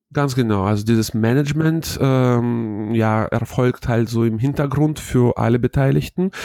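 A man speaks at a fairly slow pace with hardly any pauses. His tone is dark and mellow. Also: medium pitch for a man, ordinary pitch variation, very even loudness. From Hannover, northern Germany. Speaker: wedding emcee, former radio presenter. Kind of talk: interview.

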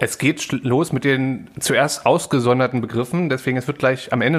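A man's voice with music in the background. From East Berlin, Germany. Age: 30s. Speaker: podcast co-host. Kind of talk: casual chat. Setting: home kitchen.

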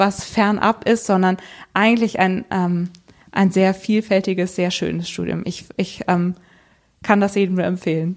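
Her intonation monotone and flat, a woman at medium pitch speaks at a very slow pace. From western Germany, Bergisch Gladbach. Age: 20s. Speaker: mountain bike racer and PhD student. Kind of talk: interview.

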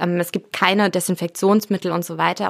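Her fairly low voice has vocal fry and a bright, sharp tone, as the woman speaks in a monotone, flat intonation. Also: dry, close sound with no echo. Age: 30s. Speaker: journalist and author on sustainable fashion. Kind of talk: interview.

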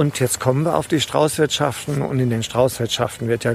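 Fairly even intonation amid noticeable background noise. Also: man. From Rheingau, Hesse. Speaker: tour guide. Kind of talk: interview. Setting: outdoors on a hiking trail.

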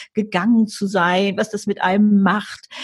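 This woman's voice sits fairly high and sounds somewhat breathy. She talks at a very slow pace. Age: 70s. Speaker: author and motivational speaker. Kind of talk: interview. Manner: animated.

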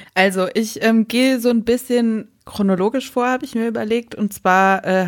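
This is a woman with an unremarkable speaking voice. She keeps a moderate pace and fairly even intonation. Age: 30s. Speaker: radio and podcast co-host. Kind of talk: casual chat. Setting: remote recording, not in the same room.

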